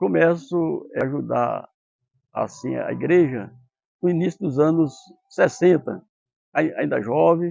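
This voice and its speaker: A man speaks at a very slow pace. His delivery is broken by long, frequent pauses. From Araçá, Extremoz, Rio Grande do Norte, northeast Brazil. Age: 70s. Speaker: elderly parishioner. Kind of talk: testimony. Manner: halting.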